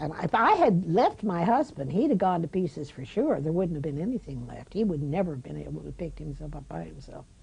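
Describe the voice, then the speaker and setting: Over noticeable background noise, a woman talks at a fairly quick pace with hardly any pauses and big swings in loudness. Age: 80s+. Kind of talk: interview answer. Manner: reflective, conversational.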